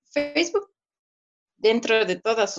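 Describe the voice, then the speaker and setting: A woman speaks at a fairly slow pace. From Ecuador. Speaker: digital marketing consultant. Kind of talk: interview, explanatory advice. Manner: hesitant fillers (eh, o sea).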